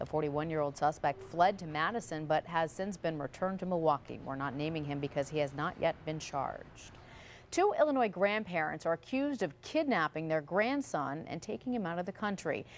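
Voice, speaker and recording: With an unremarkable speaking voice, a woman talks at a fairly quick pace, her fairly low pitch carrying lively intonation. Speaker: television news anchor. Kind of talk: television news anchor read.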